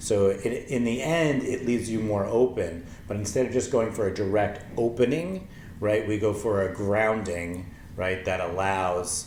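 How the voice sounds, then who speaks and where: Heard with audible room echo, a man speaks fairly slowly at a fairly low pitch with ordinary pitch variation. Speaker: meditation teacher. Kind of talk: tutorial. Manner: halting.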